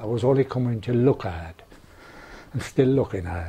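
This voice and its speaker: In an Irish accent, a man speaks at a moderate pace in a fairly low, somewhat breathy voice with a dark, mellow tone. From west of Ireland, County Roscommon. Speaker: oral history interviewee. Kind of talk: oral history interview.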